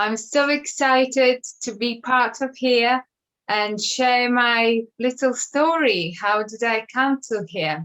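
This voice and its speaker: A woman with a high pitch speaks at a very slow pace. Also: ordinary pitch variation. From Latvia. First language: Latvian. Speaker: school worker, interview guest. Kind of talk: interview testimony.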